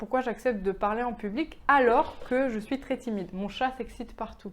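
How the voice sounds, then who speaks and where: A woman's fairly high voice at a moderate pace. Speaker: web entrepreneur, vlogger. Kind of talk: casual vlog. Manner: calm, low-energy; hesitant, many fillers.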